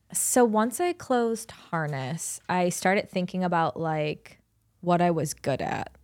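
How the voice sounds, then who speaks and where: Someone with an American accent uses an ordinary speaking voice at a fairly slow pace and lively intonation, in a very clean recording with a silent background. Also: woman, fairly low pitch for a woman. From Cleveland, Ohio, US Midwest. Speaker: digital marketing agency owner. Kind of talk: casual interview. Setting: studio.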